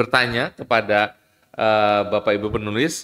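Over a quiet background, a man talks at a moderate pace in a bright, sharp tone. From Indonesia. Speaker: law lecturer association chair and moderator; law lecturer association chair, moderator. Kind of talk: formal moderation. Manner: hesitant, frequent fillers. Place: hall. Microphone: podium.

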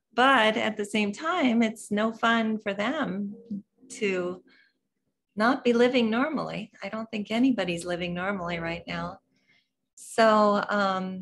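With light background noise behind her, a woman speaks at a fairly slow pace with ordinary pitch variation. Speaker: yoga teacher. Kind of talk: casual chat, then class instruction. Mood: warm, relaxed. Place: home room. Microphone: webcam.

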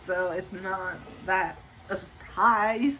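This woman's voice has a fairly bright tone and fairly even intonation.

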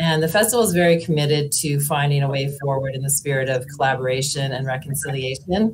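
Over noticeable background noise, a woman with a very deep, low pitch and ordinary pitch variation talks at a very fast pace with hardly any pauses. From Saskatchewan, Canada (Moose Jaw); Saskatchewan. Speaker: panel moderator, author; panel moderator. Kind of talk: moderated panel introductions. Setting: festival stage with audience. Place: home room.

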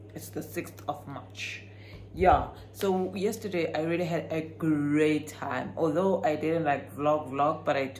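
Over light background noise, a woman talks at a fairly slow pace with a very deep, low pitch and very wide pitch swings. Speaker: vlogger. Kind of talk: casual vlog chat. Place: home room. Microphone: phone near.

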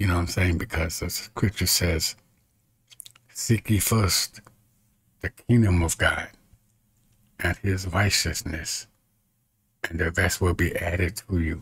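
A man's very deep, low voice, somewhat breathy, with fairly even intonation, a fairly slow pace and long, frequent pauses, dry with no echo over a quiet background. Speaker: evangelist. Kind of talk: casual vlog appeal for donations. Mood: calm, faith-filled, a little worried. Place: home room. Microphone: webcam.

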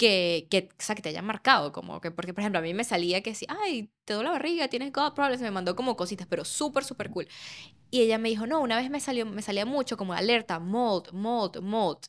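A woman's lively intonation carries her speech along at a fairly quick pace. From Venezuela. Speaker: podcast host. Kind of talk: casual chat. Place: studio. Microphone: studio mic.

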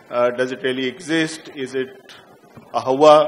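A man at a fairly slow pace with fairly even intonation. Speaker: media executive. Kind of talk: panel discussion. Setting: stage with audience. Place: stage. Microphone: handheld.

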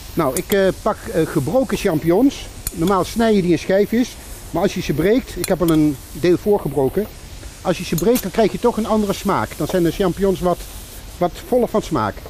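Dry and echo-free with light background noise, a man speaks at a moderate pace in a high pitch with lively intonation. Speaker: cooking show host. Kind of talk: cooking demonstration. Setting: outdoors under a bridge. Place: waterside.

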